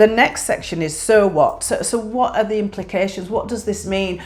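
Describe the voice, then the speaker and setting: With a Yorkshire accent, a woman talks at a medium pitch with lively intonation. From northern England, Yorkshire. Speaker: YouTuber. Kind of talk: tutorial. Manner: hesitant with fillers.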